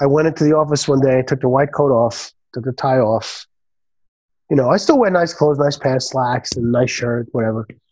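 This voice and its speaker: Fairly high in pitch, a man with a New York accent speaks at a fairly quick pace on a very clean recording with a silent background. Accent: New York (Bronx). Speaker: chiropractor and restaurateur. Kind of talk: casual interview.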